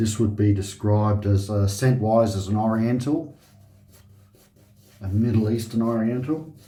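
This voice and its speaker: There is audible room echo as a man speaks at a moderate pace in a relaxed, dark, mellow tone that is somewhat breathy. His intonation is fairly even, with long, frequent pauses. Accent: Australian. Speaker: shaving video host. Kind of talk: casual tutorial. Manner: relaxed, hesitant.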